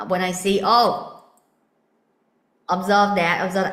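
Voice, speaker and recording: A woman with medium pitch and audible room echo. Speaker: spiritual teacher. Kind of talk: spiritual talk. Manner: loud.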